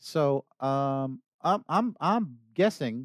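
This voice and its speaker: A man with a New York accent speaks at a medium pitch with very wide pitch swings, the sound dry and close with no echo. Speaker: podcast co-host. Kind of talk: casual interview chat. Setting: studio.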